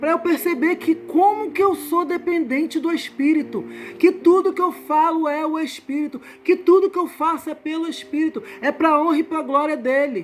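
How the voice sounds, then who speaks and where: With music in the background, a woman speaks at an extremely high pitch with ordinary pitch variation. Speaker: evangelical Bible teacher. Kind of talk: Bible study teaching. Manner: slow.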